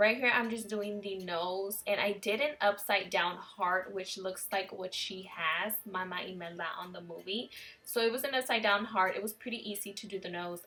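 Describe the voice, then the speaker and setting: With music in the background, a woman talks at a moderate pace and a medium pitch. Her intonation is fairly even, while her loudness swings a lot. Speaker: beauty vlogger. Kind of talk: makeup tutorial voiceover.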